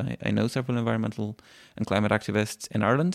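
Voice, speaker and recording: A man's medium-pitched voice with a slight Irish accent and fairly even intonation, in a very clean recording with a silent background. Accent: Irish-tinged. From Sweden. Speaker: climate activist. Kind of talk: interview.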